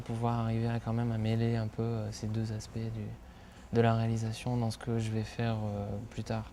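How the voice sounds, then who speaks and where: Dark, mellow tone from a man at medium pitch, with monotone, flat intonation, a fairly quick pace and audible room echo. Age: 30s. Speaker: film director. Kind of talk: interview. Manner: hesitant, many filler sounds.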